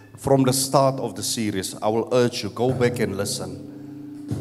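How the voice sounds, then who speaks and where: A man talks at medium pitch with ordinary pitch variation. Music plays in the background. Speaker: pastor. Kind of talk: sermon. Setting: church. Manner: animated.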